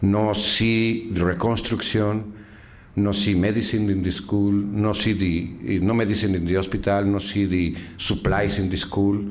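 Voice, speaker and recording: With a Mexican accent, a man speaks at a very deep, low pitch, and audible room echo surrounds his voice. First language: Spanish. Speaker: activist, father of fallen soldier. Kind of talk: speech. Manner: halting broken English.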